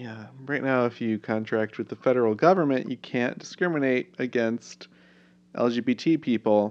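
A man speaks with a plain, everyday voice, pitched in the medium range for a man, with ordinary pitch variation and a moderate pace. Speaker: podcast co-host. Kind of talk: casual chat.

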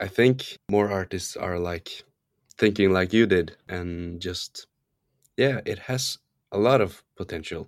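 At a very slow pace, a man with a Norwegian accent speaks in a fairly low pitch. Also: ordinary pitch variation. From Norway; small island, Norway. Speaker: singer-songwriter and producer. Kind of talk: casual interview chat.

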